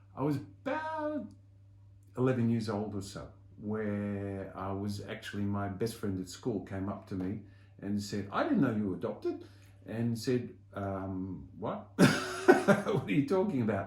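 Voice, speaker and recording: A man with an Australian accent speaks at a fairly slow pace. Audible room echo surrounds his voice. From Australia, Melbourne. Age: 60s. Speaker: community volunteer and soccer club figure. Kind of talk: interview, personal story. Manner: hesitant, many fillers.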